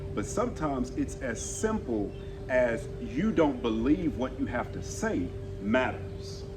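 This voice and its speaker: Very slowly, a man speaks with a strong Southern US accent, with audible room echo and noticeable background noise. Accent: thick southern. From Texas. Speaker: communication coach. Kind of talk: casual interview chat. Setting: outdoors on the street. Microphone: no mic.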